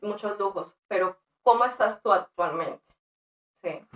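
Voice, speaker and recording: Her medium-pitched voice stays fairly even as the woman speaks at a moderate pace. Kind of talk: interview.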